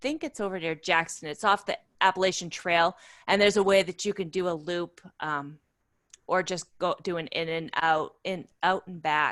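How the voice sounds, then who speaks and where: In an unremarkable speaking voice, a woman talks at a moderate pace with a fairly low pitch and fairly even intonation. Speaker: outdoor club volunteer leader and workshop presenter. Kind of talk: webinar Q&A. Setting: video call.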